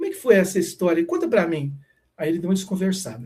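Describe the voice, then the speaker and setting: The speaker is a man. His intonation is lively. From Brazil, Minas Gerais (Triângulo Mineiro). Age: 50s. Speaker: spiritual teacher. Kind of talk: casual chat. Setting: live stream.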